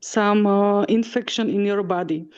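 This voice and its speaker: Her voice sits at a medium pitch with ordinary variation. The woman speaks with a non-native accent against a quiet background. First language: not English. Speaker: discussion group participant. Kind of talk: casual chat. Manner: halting, many fillers.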